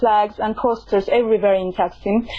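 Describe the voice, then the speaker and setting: A woman's moderately paced speech is heard with noticeable noise behind it. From Turkey. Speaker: commentator. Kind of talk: interview. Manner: halting.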